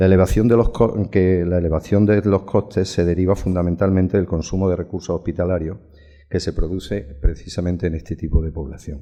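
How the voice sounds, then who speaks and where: A man talks at a fairly quick pace in a very deep, low voice with a dark, mellow tone. His intonation stays fairly even. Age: 60s. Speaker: surgeon turned health manager. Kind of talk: conference talk. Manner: reading from notes.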